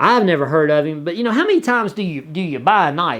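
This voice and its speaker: With a Southern US accent, a man speaks at a fairly quick pace. His fairly high pitch moves in very wide swings. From US South. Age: 40s. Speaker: YouTuber. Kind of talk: casual chat. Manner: halting, many repetitions.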